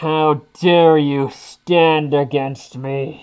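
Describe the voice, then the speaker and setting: The voice is a put-on character voice. Its pitch falls in the low-to-middle range. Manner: menacing, domineering.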